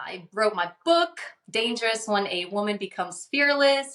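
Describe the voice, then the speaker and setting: With a Portuguese accent, a woman speaks in a bright, sharp tone at a fairly high pitch. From Amazon region of Brazil, then Louisiana from age ten. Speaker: author and speaker. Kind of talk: podcast interview.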